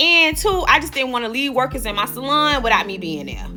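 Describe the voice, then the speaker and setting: With music in the background, a woman uses a raised, projected voice at a high pitch, her animated tone full of very wide pitch swings at a fairly quick pace. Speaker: hairstylist and salon owner. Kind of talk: storytime monologue.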